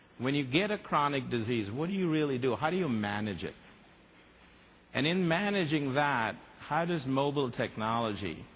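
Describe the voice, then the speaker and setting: At a moderate pace, a man speaks with lively intonation and a fairly high pitch. Audible room echo surrounds his voice. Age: 60s. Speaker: company executive and conference speaker. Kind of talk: conference keynote talk.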